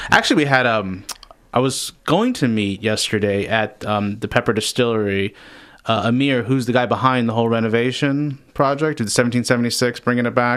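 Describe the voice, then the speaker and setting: Speech moves at a fairly quick pace. The intonation stays fairly even. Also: man, medium pitch for a man. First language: not English. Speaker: community radio beer show co-host. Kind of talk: casual chat.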